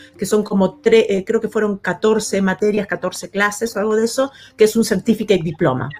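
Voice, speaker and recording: A woman's fairly high voice at a fairly slow pace, with noticeable background noise. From Argentina, Buenos Aires outskirts. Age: 50s. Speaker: actress and designer. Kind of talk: interview. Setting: live recorded vodcast. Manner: hesitant, many fillers.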